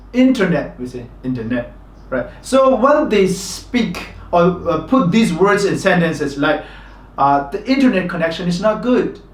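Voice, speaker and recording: In a Burmese accent, a man with a high pitch speaks at a fairly slow pace with very wide pitch swings, amid audible room echo and noticeable background noise. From Myanmar. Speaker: English teacher. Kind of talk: tutorial.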